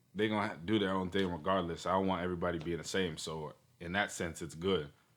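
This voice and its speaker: Very fast and very deep, a man's voice comes with an American accent and fairly even intonation. The recording is very clean, with a silent background. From Toronto, Canada, then US (Carolinas). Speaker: hip hop artist. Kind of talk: casual interview.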